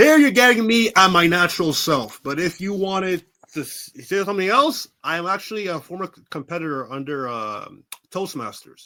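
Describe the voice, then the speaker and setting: A man projects a raised voice at a high pitch with a bright, sharp tone and very wide pitch swings. His pace is moderate, and his loudness swings widely. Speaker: pro wrestler. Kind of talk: interview. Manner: halting.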